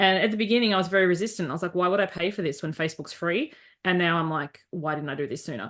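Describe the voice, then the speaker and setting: A woman with an Australian accent talks at a very fast pace in a fairly low voice, her pitch moving in an ordinary way over a quiet background. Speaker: life coach. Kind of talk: interview conversation. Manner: direct.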